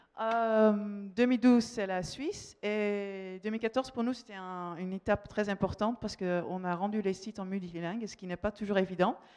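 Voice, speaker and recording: With a Dutch accent, a woman speaks at a moderate pace and a medium pitch. Her intonation stays fairly even. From Netherlands. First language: Dutch (speaking French). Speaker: marketing manager. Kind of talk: conference talk. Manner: halting, many fillers.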